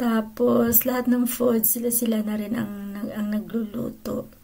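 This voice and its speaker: A woman speaks fairly slowly in a fairly high voice that is monotone and flat, with a dark, mellow tone. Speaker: vlogger. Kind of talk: casual vlog narration.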